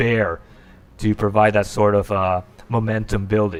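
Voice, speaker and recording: This man has a normal speaking voice. His pitch sits fairly low. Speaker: esports shoutcaster. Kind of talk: esports play-by-play commentary. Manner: excited, fast-paced.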